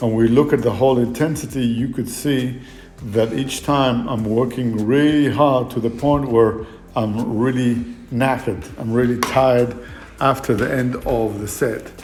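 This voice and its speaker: Monotone, flat intonation from a man at a medium pitch and moderate pace, with music in the background and audible room echo. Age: 60s. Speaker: fitness trainer. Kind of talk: fitness vlog monologue. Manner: hesitant, many fillers.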